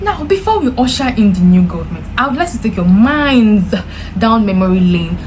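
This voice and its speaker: Audible room echo and noticeable background noise both accompany a woman as she talks. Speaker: YouTuber, commentator. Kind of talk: casual vlog commentary.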